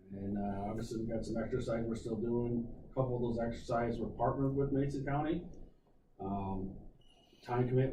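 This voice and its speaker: A man with a medium pitch and a dark, mellow, somewhat breathy tone speaks at a very fast pace with ordinary pitch variation. Room echo is audible. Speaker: county emergency manager. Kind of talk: committee meeting report. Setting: county committee meeting.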